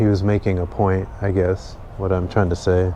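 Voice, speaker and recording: A man's fairly low voice in a flat monotone. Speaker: vlogger. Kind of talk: casual monologue. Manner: monotone, slow; halting, many ums and repeats.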